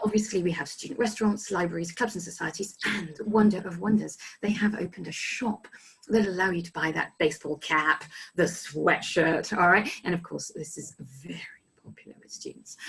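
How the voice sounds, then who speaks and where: A woman of medium pitch talks at a fairly quick pace, with ordinary pitch variation and big swings in loudness. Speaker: study abroad resident director. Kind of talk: informational presentation. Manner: fast.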